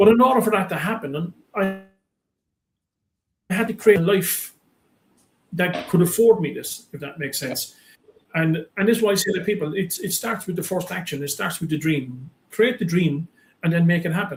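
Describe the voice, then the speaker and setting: Spoken at a moderate pace with an Irish accent and ordinary pitch variation, the delivery breaks often into long pauses. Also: man, high pitch for a man. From Ireland. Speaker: business coach and motivational speaker. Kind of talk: interview. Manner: animated.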